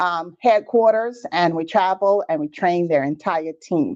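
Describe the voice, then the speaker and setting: A woman with a Bahamian accent talks at a fairly slow pace with lively intonation. The background is quiet. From Bahamas. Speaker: business trainer. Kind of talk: live webinar training. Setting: livestream on social media. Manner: animated.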